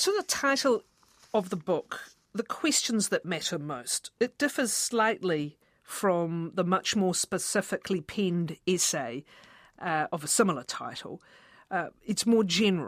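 A woman with an unremarkable speaking voice, medium in pitch, lively intonation and a fairly slow pace, on a very clean recording with a silent background and a dry, close sound with no echo. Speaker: radio interviewer. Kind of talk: interview questions.

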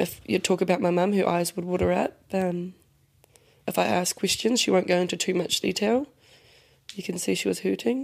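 A woman talks at a moderate pace. She takes long, frequent pauses. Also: medium pitch for a woman, ordinary pitch variation. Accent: New Zealand. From New Zealand, Te Puke. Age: 20s. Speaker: daughter of a missing woman. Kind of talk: interview.

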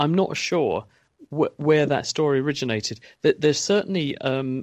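A moderate pace in a British accent, dry and close with no echo, over a quiet background. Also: man. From UK. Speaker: science expert. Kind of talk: radio Q&A explanation.

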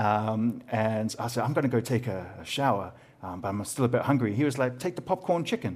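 On a very clean recording with a silent background, a man in a New Zealand accent talks fairly quickly at a medium pitch with lively intonation. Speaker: podcast host and comedian. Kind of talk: casual interview chat about mental health.

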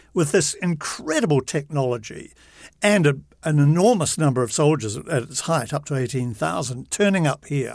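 On a very clean recording with a silent background, a man in a New Zealand accent speaks at a moderate pace, his fairly high pitch carrying lively intonation. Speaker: veteran TV journalist. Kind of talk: casual interview. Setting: studio. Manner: animated.

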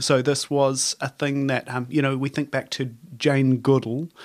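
With a New Zealand accent, a man talks at a moderate pace in a fairly high pitch. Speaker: conservation biologist. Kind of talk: casual chat. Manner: hesitant, many fillers.

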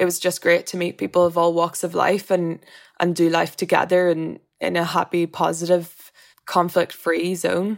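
The speaker has a Northern Irish accent and monotone, flat intonation at a moderate pace. The recording is very clean, with a silent background. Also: woman, fairly low pitch for a woman. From Northern Ireland. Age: 20s. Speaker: interviewee. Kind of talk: interview.

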